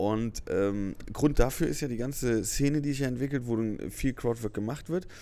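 A man at medium pitch and moderate pace, with a dark, mellow tone. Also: ordinary pitch variation. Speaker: comedian. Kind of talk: casual chat. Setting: hotel lobby.

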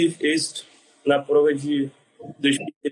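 A man's voice with ordinary pitch variation. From Brazil, Rio de Janeiro. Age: 20s. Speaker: navy corporal. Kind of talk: interview answers.

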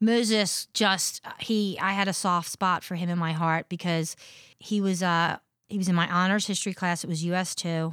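A woman speaks with an American accent in a monotone, flat intonation. The recording is very clean, with a silent background. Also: medium pitch for a woman, moderate pace. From southern New Jersey, US. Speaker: high school history teacher. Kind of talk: casual interview.

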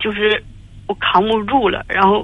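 A woman talks at a fairly slow pace in a monotone, flat intonation. Noticeable background noise sits behind her. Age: 40s. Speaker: caller. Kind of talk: phone-in confession. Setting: phone call. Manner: halting.

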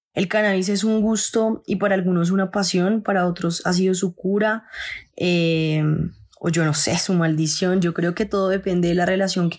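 A woman speaks at a moderate pace and medium pitch, her intonation monotone and flat and her loudness very even. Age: 20s. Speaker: cannabis grower and content creator. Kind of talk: personal testimony.

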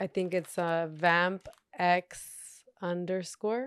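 Recorded with a dry, close sound and no echo, a woman speaks with an American accent at fairly low pitch. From Torrance, Los Angeles area. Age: 30s. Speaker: model. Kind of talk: casual chat. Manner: halting.

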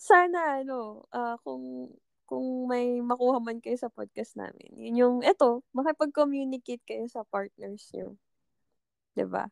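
A woman speaks at a fairly slow pace. The sound is dry and close, with no echo. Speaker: podcast co-host in a long-distance relationship. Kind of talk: casual chat.

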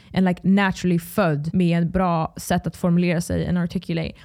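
Heard in a very clean recording with a silent background, a woman speaks at a moderate pace in a dark, mellow tone. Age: 20s. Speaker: podcaster. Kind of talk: casual solo podcast monologue. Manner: code-switching Swedish and English; casual, rambling with fillers.

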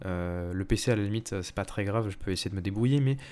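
At a moderate pace, the speaker has a dark, mellow tone with ordinary pitch variation. There's no background sound at all, and the recording is very clean. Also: man. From Paris region, France. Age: 20s. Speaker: student podcaster. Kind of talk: casual solo monologue. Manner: hesitant, many fillers.

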